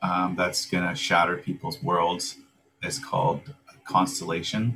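The speaker uses a normal speaking voice with a Canadian accent. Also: man. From Langley, British Columbia, Canada. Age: 30s. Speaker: crypto business development manager. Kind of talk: casual interview.

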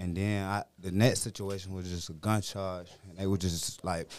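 The speaker talks at a fairly slow pace in a strong Virginia accent. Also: man. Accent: thick Virginia. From Petersburg, Virginia. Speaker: rapper. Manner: laid back.

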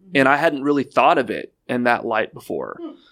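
A man with an American accent talks in a normal speaking voice at medium pitch, with ordinary pitch variation. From Houston, Texas. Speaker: former contestant on dating show, amputee athlete. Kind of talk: casual chat.

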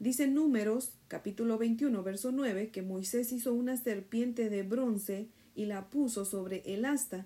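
A woman's fairly high-pitched voice, warm yet dark and mellow in tone, at a fairly slow pace with ordinary pitch variation and hardly any pauses. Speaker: devotional teacher. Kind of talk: bible study devotional. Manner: warm, prayerful.

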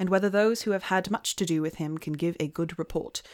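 The pitch rises and falls in an ordinary way. Underneath it all is plain reading aloud.

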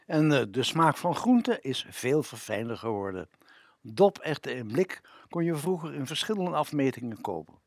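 On a very clean recording with a silent background, a man with a fairly high pitch speaks at a fairly slow pace with very wide pitch swings. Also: dry, close sound with no echo. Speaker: radio presenter. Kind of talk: scripted narration.

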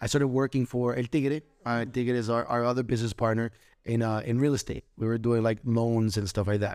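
Speaking at a fairly quick pace, a man with a medium pitch keeps fairly even intonation on a very clean recording with a silent background. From Orlando, Florida. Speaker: professional dancer. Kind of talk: interview.

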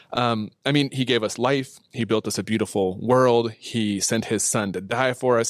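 With a normal speaking voice, a man talks at a medium pitch and ordinary pitch variation. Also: very clean recording, silent background. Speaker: church marketing and communications manager. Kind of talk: casual interview chat. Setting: studio.

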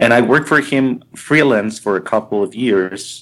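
The recording is very clean and its background silent. In it, a man talks with a Spanish accent. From Colombia, raised partly abroad. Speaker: album cover artist. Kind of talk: casual interview chat. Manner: halting, with many fillers and repetitions.

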